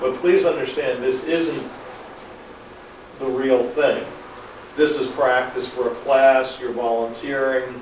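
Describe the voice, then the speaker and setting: A man speaks at a very slow pace with long, frequent pauses. Noticeable background noise and audible room echo are present. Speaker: biofeedback clinician demonstrating to a class. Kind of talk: live classroom demonstration. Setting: class with volunteers and audience.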